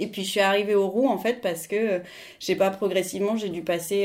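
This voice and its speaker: At a moderate pace, a woman speaks with fairly even intonation and a medium pitch. Hers is a normal speaking voice. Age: 40s. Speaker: art history teacher. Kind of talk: interview testimony.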